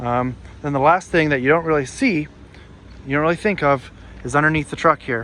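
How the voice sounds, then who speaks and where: Fairly high-pitched, a man talks at a fairly quick pace with fairly even intonation. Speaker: truck driver YouTuber. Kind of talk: tutorial. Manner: fast.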